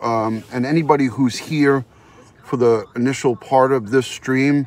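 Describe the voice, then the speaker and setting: The sound is dry, with no echo. A man speaks with fairly even intonation. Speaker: live streamer. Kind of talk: casual live-stream chat. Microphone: phone near.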